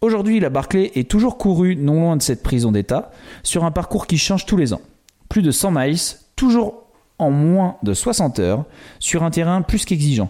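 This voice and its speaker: This man's high-pitched, dark and mellow voice swings very widely in pitch at a very even loudness, moving at a moderate pace with long, frequent pauses. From western France, island off the Atlantic coast. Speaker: podcast co-host. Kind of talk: casual chat with storytelling.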